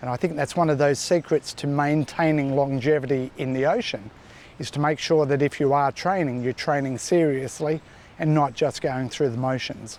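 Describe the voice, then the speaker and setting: A man talks at a moderate pace. His fairly high voice keeps a fairly even intonation. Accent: Australian. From New South Wales, Australia. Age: 50s. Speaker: surfer. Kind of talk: interview answer.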